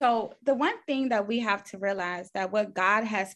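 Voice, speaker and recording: The voice belongs to a woman whose pitch varies in an ordinary way. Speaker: registered nurse and faith speaker. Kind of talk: faith testimony interview.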